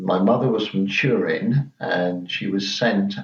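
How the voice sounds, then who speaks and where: In a southern English accent, a man speaks at a fairly low pitch and a fairly slow pace. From southeast England, Margate, Kent. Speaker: interviewee sharing childhood memories. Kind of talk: oral history interview.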